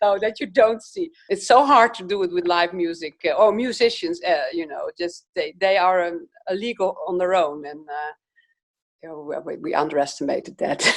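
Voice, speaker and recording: With lively intonation and big swings in loudness, a woman speaks at a moderate pace and a medium pitch. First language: Dutch. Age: 60s. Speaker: film director. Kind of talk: interview. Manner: hesitant, many fillers.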